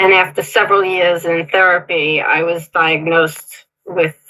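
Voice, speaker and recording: The woman's voice sits at a fairly low pitch. Her tone comes across bright and sharp. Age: 60s. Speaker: caller giving health testimony. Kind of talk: testimony. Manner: partly read from notes.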